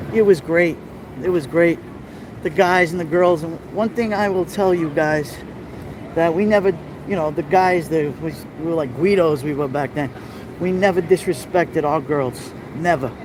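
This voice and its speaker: A man with a Brooklyn accent, high-pitched with ordinary pitch variation, at a moderate pace with long, frequent pauses, amid noticeable background noise. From New York City, Little Italy. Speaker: live-streaming vlogger. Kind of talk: live stream walking tour. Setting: outdoors at street festival. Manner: animated.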